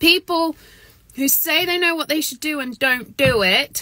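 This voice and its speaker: This woman talks loudly at a fairly slow pace. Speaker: energy coach. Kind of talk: motivational talk to camera. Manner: getting louder.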